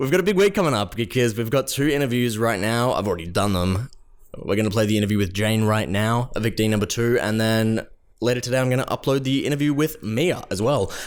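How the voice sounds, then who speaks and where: A man with an Australian accent, medium pitch, fairly quick pace, lively intonation and very even loudness. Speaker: podcast host. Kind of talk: podcast intro, casual talk.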